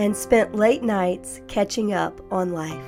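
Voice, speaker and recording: Over music in the background, a woman with an American accent talks at a fairly slow pace, her medium pitch carrying lively intonation and a gentle tone. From Florida. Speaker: vlogger. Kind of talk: calm vlog narration. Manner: slow, gentle.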